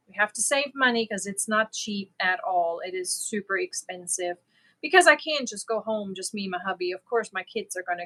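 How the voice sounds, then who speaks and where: This woman talks at a moderate pace and a medium pitch, with ordinary pitch variation and big swings in loudness. Her tone is bright and sharp, recorded dry and close with no echo. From Germany. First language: German. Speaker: crochet livestreamer. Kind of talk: casual chat. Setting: live stream.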